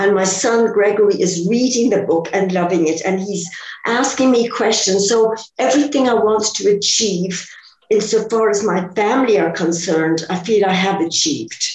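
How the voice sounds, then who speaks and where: Noticeable background noise runs behind a woman's medium-pitched voice. She speaks at a moderate pace with ordinary pitch variation. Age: 70s. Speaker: author and photographer. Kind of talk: interview. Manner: plain conversational speaker.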